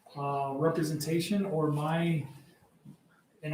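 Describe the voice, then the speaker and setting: In an American accent, a man with a fairly high pitch is heard over noticeable background noise and audible room echo. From US-Mexico border, Arizona. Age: 50s. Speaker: firearms and tactics instructor. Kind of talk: podcast interview.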